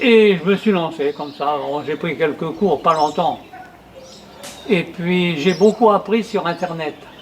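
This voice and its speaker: Against noticeable background noise, a man speaks very slowly in a high voice with ordinary pitch variation, leaving long, frequent pauses. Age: 80s+. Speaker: retired painter and amateur poet. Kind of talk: interview testimony. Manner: hesitant, many fillers and repetitions.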